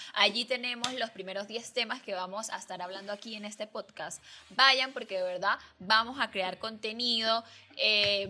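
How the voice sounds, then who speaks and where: A woman talks in a normal speaking voice with a fairly high pitch at a moderate pace. Her intonation is fairly even while her loudness swings widely. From Venezuela, Andean region. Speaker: podcast co-host. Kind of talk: casual chat.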